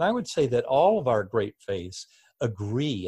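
Against a quiet background, a man with an American accent speaks at a moderate pace in a somewhat breathy voice, the sound dry and close with no echo. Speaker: neurosurgeon and author. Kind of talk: interview.

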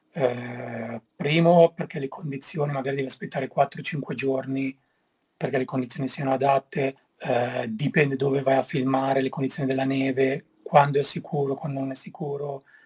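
This man talks at a moderate pace with a medium pitch and fairly even intonation. His voice is somewhat breathy, recorded dry and close with no echo. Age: 40s. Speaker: snowboard filmmaker. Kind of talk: interview.

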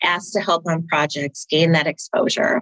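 With an American accent, a woman talks at a fairly slow pace and fairly low pitch in a normal speaking voice, the sound dry and close with no echo. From Minnesota. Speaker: nonprofit CFO turned finance consultant. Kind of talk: interview.

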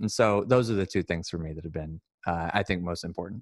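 On a very clean recording with a silent background and a dry, close sound with no echo, a man speaks with fairly even intonation. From US West Coast, Sacramento, California. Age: 20s. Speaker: student and aspiring minister. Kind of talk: casual interview.

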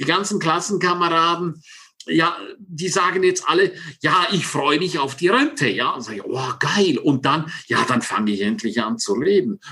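Over noticeable background noise, a high-pitched man speaks at a moderate pace, his pitch swinging very widely. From Switzerland, Engadin (St. Moritz). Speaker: success coach. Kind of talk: interview. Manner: animated.

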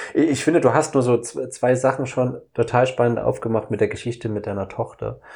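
Against a quiet background, a man at medium pitch speaks somewhat breathily at a fairly quick pace. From Saxony, eastern Germany. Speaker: podcast host. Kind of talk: casual chat.

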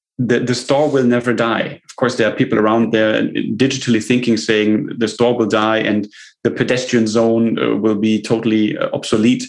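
A man with a German accent speaks at a moderate pace, his medium pitch carrying fairly even intonation. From Germany. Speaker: tech company CEO. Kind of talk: interview.

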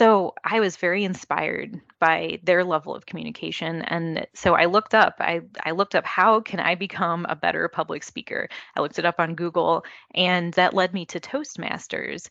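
A woman's fairly low-pitched voice with vocal fry and fairly even intonation at a moderate pace, dry and close with no echo, over a quiet background. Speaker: automation market development manager. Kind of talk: interview conversation. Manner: soft-spoken.

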